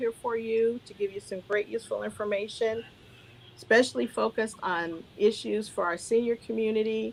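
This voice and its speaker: At a moderate pace and with fairly even intonation comes a plain, everyday voice. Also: woman. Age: 60s. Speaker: moderator. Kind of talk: virtual town hall moderation. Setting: video call.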